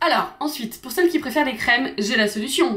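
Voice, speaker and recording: A woman's high voice, animated in tone, with lively intonation. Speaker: beauty and lifestyle youtuber. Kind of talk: casual product review vlog. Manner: fast.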